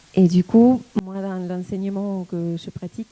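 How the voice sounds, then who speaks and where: A woman speaks at a medium pitch and a fairly slow pace, her tone dark and mellow, with a slight Argentine accent. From Argentina. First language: Spanish (speaking French). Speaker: tango dancer and teacher. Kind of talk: talk to an audience. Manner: hesitant, many fillers.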